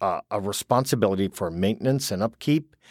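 A man with an unremarkable speaking voice talks at a fairly low pitch, with ordinary pitch variation. The recording is very clean and silent behind him, with a dry, close sound and no echo. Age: 50s. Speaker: geriatrician. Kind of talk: interview.

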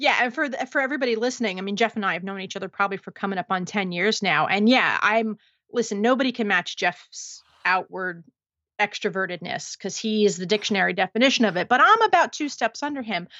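A woman at a very fast pace, medium in pitch. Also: ordinary pitch variation. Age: 40s. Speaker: marketing technology entrepreneur. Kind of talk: casual interview chat.

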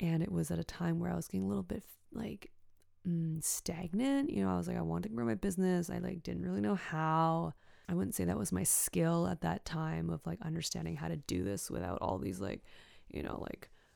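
In a very clean recording with a silent background, a woman speaks with a Canadian accent. Her pace is moderate, with very wide pitch swings. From western Canada (Richmond, BC, near Vancouver). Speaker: podcast host, energy healer. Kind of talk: personal storytelling monologue. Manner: casual, filler-heavy.

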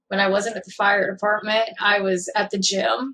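A woman with a Kentucky accent, medium pitch, moderate pace and flat, monotone intonation. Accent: southern US (Kentucky). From Kentucky, small town. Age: 20s. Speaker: former firefighter and EMT, patient. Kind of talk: interview.

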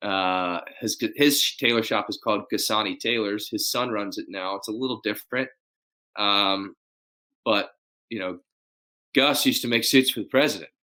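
A man with an American accent speaks at a moderate pace and medium pitch, in a bright, sharp tone. His pitch varies in an ordinary way, and he leaves long, frequent pauses. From Texas, Dallas. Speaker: custom tailor and rancher. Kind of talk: casual interview. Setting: video call. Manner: animated.

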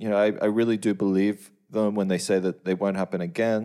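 Speaking in an Australian accent, a man with a dark, mellow tone and fairly low pitch goes at a fairly quick pace with ordinary pitch variation. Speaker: plugin developer. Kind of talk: casual chat.

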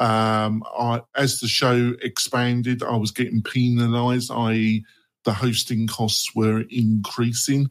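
A man at a fairly slow pace, in a monotone, flat intonation. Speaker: podcast moderator. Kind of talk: casual panel discussion. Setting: online video call. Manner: chatty, halting with fillers.

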